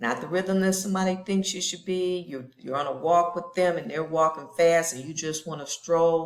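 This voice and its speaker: A woman with an unremarkable speaking voice talks at a moderate pace, pitched fairly low and with fairly even intonation. Her loudness swings widely, and she hardly pauses. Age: 60s. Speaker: lifestyle vlogger. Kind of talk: personal vlog monologue. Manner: casual, conversational.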